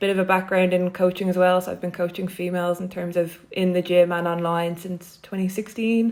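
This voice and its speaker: In a Dublin accent, a woman speaks with a fairly low pitch and monotone, flat intonation. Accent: Dublin Irish. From Ireland, Dublin. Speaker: PhD researcher and coach. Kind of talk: podcast interview.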